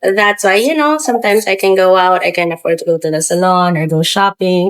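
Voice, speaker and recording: Speaking at a fairly quick pace in a Filipino accent, a woman uses lively intonation at a medium pitch. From Philippines. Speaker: business founder. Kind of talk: podcast interview. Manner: hesitant with fillers.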